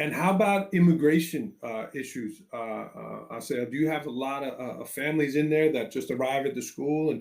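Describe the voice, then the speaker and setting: A man with a New York accent, fairly high pitch and ordinary pitch variation, at a moderate pace with hardly any pauses. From New York City. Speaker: education podcast host, former teacher. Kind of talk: interview. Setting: live video call.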